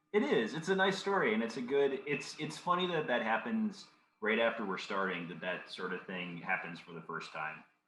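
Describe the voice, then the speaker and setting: With audible room echo around him, a man of medium pitch talks at a moderate pace, showing very wide pitch swings and big swings in loudness. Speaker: podcast host. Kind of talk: casual chat.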